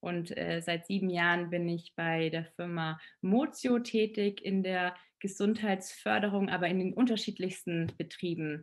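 A woman at a medium pitch with ordinary pitch variation, a plain, everyday voice. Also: fairly slow pace. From Allgäu, Bavaria. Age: 30s. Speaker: relaxation and stress-management expert. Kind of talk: podcast interview.

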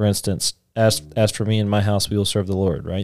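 In a very clean recording with a silent background and a dry, close sound without echo, a man with an ordinary speaking voice talks at a fairly low pitch with ordinary pitch variation. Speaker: podcast host. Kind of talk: casual discussion podcast on Bible reading.

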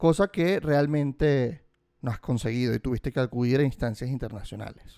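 The man's voice sits at medium pitch with a dark, mellow tone, ordinary pitch variation and a moderate pace. Recorded very clean against a silent background, the sound is dry and close with no echo. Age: 30s. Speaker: podcast host. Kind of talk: interview.

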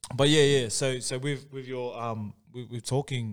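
A man with an Australian accent, medium in pitch, at a moderate pace with fairly even intonation. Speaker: podcast host. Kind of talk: casual podcast chat. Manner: casual, filler-heavy.

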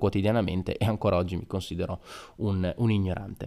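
A dark, mellow tone carries fairly even intonation. The recording is very clean and the background silent. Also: man. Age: 20s. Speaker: podcaster and young doctor. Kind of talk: solo podcast monologue. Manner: casual, with frequent hesitations.

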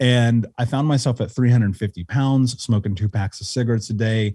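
A somewhat breathy voice with an American accent and a dark, mellow tone speaks at a moderate pace with ordinary pitch variation. The recording is very clean, with a silent background. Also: man. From Indianapolis, US Midwest. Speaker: life coach and author. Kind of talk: interview conversation. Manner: articulate.

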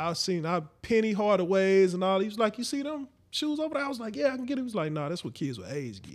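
With an American accent, this voice races along at a very fast pace with very wide pitch swings, over a silent background in a very clean recording. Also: man, high pitch for a man. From St. Louis, Missouri. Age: 30s. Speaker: podcast host. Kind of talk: casual chat.

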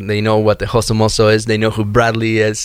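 At a fairly quick pace, a man speaks in a Spanish accent. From Argentina. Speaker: door-to-door salesperson. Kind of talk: casual interview chat. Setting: studio.

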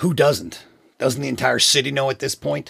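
At a moderate pace, a man puts on a raspy character voice at a medium pitch. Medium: audio drama. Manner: defensive, tense.

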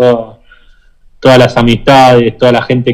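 Speaking with an Argentine accent, a man keeps a medium pitch and a fairly slow pace. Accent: Rioplatense Argentine Spanish. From Argentina, Buenos Aires. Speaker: professional footballer. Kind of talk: interview. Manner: halting, many repetitions and fillers.

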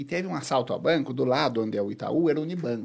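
Talking at a fairly quick pace, a man with a medium-pitched voice shows vocal fry and lively intonation. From Boituva, São Paulo state, Brazil. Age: 30s. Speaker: political candidate. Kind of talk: casual interview.

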